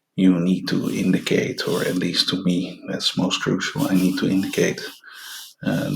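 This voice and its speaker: A man speaks quietly at a very slow pace. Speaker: artist demonstrating sketching. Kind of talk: tutorial. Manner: hushed, quiet voice; halting, many fillers.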